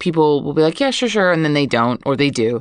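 A woman's very deep, low voice over a quiet background. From Hawaii, Oahu. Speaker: guest. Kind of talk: casual chat. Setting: studio.

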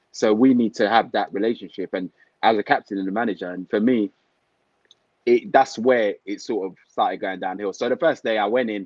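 A man talks very fast with a London accent. His pitch is fairly low, with ordinary variation. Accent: London multicultural English. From London, Tottenham. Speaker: retired footballer and football manager. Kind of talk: casual interview chat. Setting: online livestream call.

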